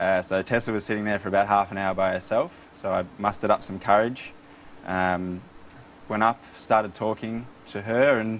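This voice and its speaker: A man with an Australian accent, fairly low in pitch and fairly even in intonation. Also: moderate pace. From Melbourne, Australia. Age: 20s. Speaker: quiz contestant. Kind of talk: casual chat.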